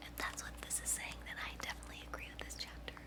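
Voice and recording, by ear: A woman whispers at a very fast pace.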